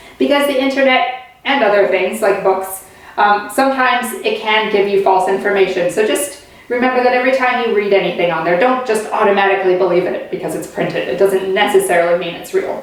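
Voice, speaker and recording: Against noticeable background noise and audible room echo, a woman speaks at a fairly quick pace. Her pitch is medium and varies in an ordinary way. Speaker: teacher. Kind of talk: online lesson for children. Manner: fast; animated.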